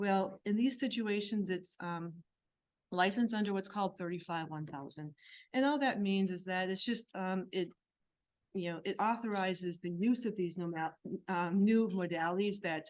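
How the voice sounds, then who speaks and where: A woman talks at a moderate pace with medium pitch and ordinary pitch variation. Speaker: health physicist. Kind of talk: conference presentation. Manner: soft-spoken; halting.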